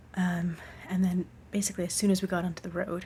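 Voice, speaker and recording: A woman's somewhat breathy, fairly low voice at a moderate pace, in a monotone, flat intonation. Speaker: hiking vlogger. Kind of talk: casual vlog diary.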